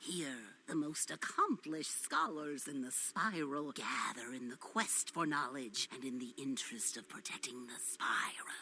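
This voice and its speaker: At a moderate pace, a put-on character voice speaks at a low-to-middle pitch over light background noise. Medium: video game. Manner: gruff, impatient.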